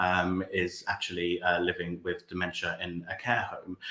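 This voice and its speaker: A man's very deep, low voice at a moderate pace amid noticeable background noise. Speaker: songwriter and live performer. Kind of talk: spoken introduction to a song at an open showcase. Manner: thoughtful, warm, hesitant with filler words.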